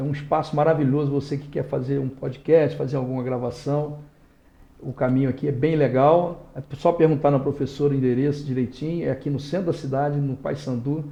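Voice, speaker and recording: A somewhat breathy voice with monotone, flat intonation at a fairly quick pace. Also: man, fairly high pitch for a man. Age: 60s. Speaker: lawyer and former politician. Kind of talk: interview. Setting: podcast studio.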